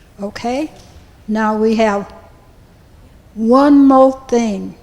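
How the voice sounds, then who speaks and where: A woman speaks at a fairly high pitch with ordinary pitch variation. Noticeable background noise runs underneath. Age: 80s+. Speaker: church member speaking at council. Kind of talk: public comment at city council meeting.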